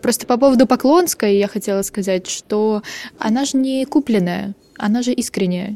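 The tone is dark and mellow, the sound dry and close with no echo. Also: woman, fairly high pitch for a woman, ordinary pitch variation, moderate pace. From Ukraine, Odesa. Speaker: journalist, podcast co-host. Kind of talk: casual chat.

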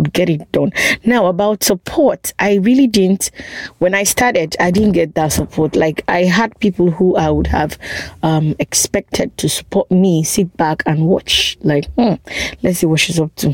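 Speaking at a moderate pace with a Nigerian accent and a fairly low pitch, a woman sounds dry and close with no echo, over noticeable background noise. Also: ordinary pitch variation, very even loudness. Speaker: guest on immigration topics. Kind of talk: casual chat.

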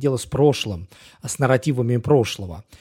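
A man speaks at a fairly quick pace in a dark, mellow, somewhat breathy tone, on a very clean recording with a silent background. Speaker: podcast co-host. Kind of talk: podcast interview. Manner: hesitant, many fillers.

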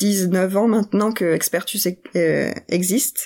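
Dark and mellow in tone, the voice keeps a fairly even intonation in a very clean recording with a silent background. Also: woman. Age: young. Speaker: product owner in finance tech. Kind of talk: interview.

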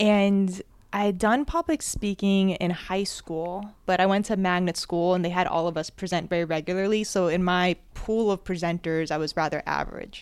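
A woman with an American accent uses a plain, everyday voice at a medium pitch and moderate pace, with fairly even intonation and hardly any pauses, on a very clean recording with a silent background. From New Jersey. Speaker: public speaking teacher. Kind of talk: live storytelling to small audience. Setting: live event in an apartment with audience, handheld mic.

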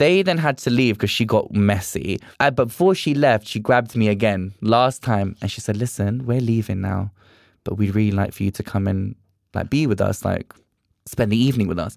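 Speaking at a fairly quick pace with a British accent, a man of medium pitch shows ordinary pitch variation on a very clean recording with a silent background. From UK. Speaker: drag performer. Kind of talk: casual chat. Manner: animated.

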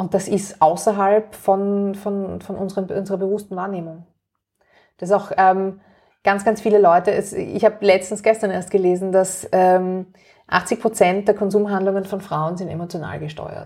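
A woman with a Viennese accent speaks at a moderate pace and medium pitch, her tone dark and mellow, her intonation monotone and flat. Her loudness swings widely on a very clean recording with a silent background. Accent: Viennese Austrian German. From Austria, Vienna. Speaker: activist and author. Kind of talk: interview.

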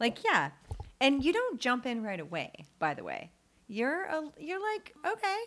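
The voice moves at a fairly slow pace with very wide pitch swings. Noticeable background noise is present. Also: woman, high pitch for a woman. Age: 40s. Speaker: podcast co-host. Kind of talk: casual chat. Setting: in person, recording together. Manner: laughs often.

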